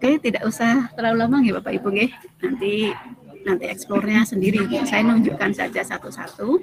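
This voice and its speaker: Fairly quick speech with music in the background. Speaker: teacher and workshop trainer. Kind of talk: online training tutorial. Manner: soft-spoken.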